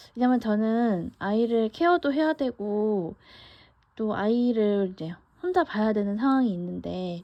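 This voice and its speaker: With an ordinary speaking voice, a woman talks at a fairly slow pace in a fairly high pitch, her intonation lively. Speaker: vlogger. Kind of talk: casual monologue. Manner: conversational with fillers.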